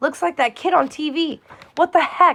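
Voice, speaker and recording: Putting on a gruff character voice at an extremely high pitch, a woman talks at a moderate pace with ordinary pitch variation. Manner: suspicious, surprised.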